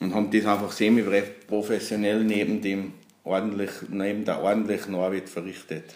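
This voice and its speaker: A man's very deep, low voice at a moderate pace. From Austria, Salzburg region (Pinzgau). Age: 40s. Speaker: accordion maker and musician. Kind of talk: interview.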